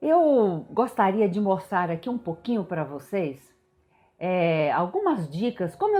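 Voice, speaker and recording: Her pitch swings very widely around a medium level. The woman speaks at a fairly slow pace. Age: 60s. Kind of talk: devotional teaching talk. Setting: home prayer room.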